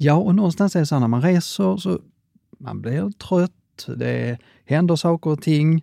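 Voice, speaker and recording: This man has a fairly high pitch, a dark, mellow tone and ordinary pitch variation, recorded very clean with a silent background and a dry, close sound with no echo. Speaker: franchise chain CEO. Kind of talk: interview.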